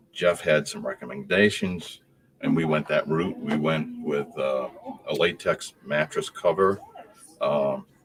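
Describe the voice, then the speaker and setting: Fairly slow speech from a man, with noticeable background noise. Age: 70s. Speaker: customer, retired construction products salesman. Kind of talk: casual chat. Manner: halting.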